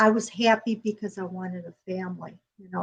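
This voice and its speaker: Somewhat breathy, a woman speaks with an American accent. She keeps a moderate pace and fairly even intonation. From Chicago, US Midwest. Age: 70s. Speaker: author, bereaved mother. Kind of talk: interview testimony. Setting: talk show interview.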